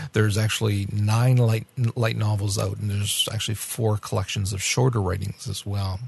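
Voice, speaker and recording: Somewhat breathy, a man speaks at a fairly low pitch. His intonation stays fairly even. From France. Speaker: podcast co-host reviewing anime. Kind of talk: casual review discussion.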